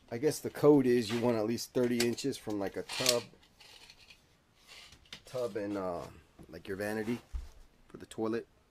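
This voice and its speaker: Moderately paced speech from a man, ordinary in pitch variation, with noticeable background noise. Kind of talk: tutorial. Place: bathroom. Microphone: phone near.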